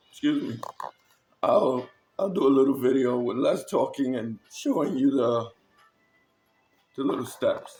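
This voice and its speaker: With music in the background, a man speaks with long, frequent pauses. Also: fairly slow pace. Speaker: terrain crafting hobbyist. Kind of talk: casual crafting tutorial. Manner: casual, hesitant with fillers.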